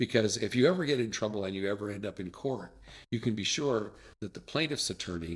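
A man with a fairly low pitch talks at a very fast pace on a very clean recording with a silent background. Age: 60s. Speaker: district superintendent. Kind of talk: casual interview.

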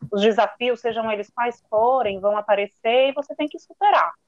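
With a dry, close sound and no echo, a woman in a normal speaking voice talks at a fairly high pitch and a moderate pace. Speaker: chemical engineer. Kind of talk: casual chat.

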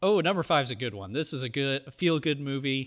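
This very clean recording has a silent background. A man with a normal speaking voice talks at medium pitch and a moderate pace with ordinary pitch variation. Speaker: podcast host. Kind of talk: casual chat.

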